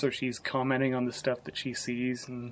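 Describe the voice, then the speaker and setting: Soft-spoken, the man keeps a medium pitch and a moderate pace. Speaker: gaming vlogger. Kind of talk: casual vlog review. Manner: quiet, soft-spoken; halting, many restarts.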